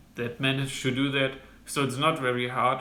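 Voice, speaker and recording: In a German accent, a man speaks at a moderate pace and medium pitch with monotone, flat intonation, in audible room echo. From Germany. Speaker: medical student vlogger. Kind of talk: informational vlog monologue. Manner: halting, many fillers.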